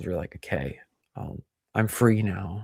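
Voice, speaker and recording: A man with an unremarkable speaking voice and an American accent talks at a fairly low pitch and a fairly slow pace with fairly even intonation, in a very clean recording with a silent background. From US Midwest. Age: 40s. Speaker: YouTube commentator. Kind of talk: casual chat.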